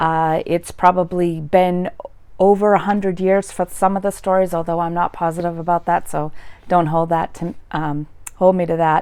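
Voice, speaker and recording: A woman speaks in a Boston accent at a moderate pace. Her pitch is fairly low and her intonation is flat and monotone. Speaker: YouTuber, literature commentator. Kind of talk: casual commentary. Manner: hesitant, many fillers.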